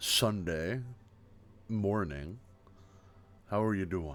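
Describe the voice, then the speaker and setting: With music in the background, a man speaks very slowly at a very deep, low pitch, with ordinary pitch variation. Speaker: livestreamer. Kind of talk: casual chat, ASMR-style livestream. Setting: live stream, home desk with webcam. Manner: soft-spoken; relaxed, chill.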